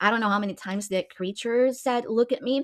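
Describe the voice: In this plain reading aloud, pitch shifts in an ordinary way.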